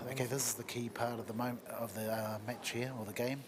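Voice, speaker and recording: A man at a very fast pace, medium in pitch, monotone and flat, over noticeable background noise. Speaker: pool commentator. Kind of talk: live commentary. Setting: commentary box at venue. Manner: talking quietly.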